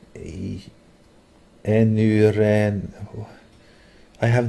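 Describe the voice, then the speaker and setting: This man talks with a fairly low pitch. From Norway. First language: Norwegian. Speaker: gaming livestreamer. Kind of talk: casual chat. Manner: halting.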